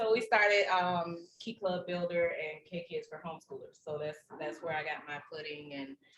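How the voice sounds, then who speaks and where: A woman with a Southern US accent, fairly low in pitch, ordinary pitch variation, big swings in loudness, a moderate pace and hardly any pauses. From Alabama. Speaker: service club officer. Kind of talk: self-introduction at a meeting.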